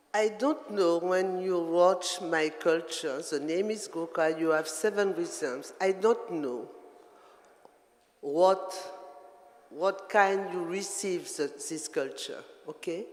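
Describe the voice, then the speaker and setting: Someone speaks very slowly in a French accent. Noticeable background noise can be heard. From Guadeloupe. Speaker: dancer. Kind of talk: artist talk to audience. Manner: halting.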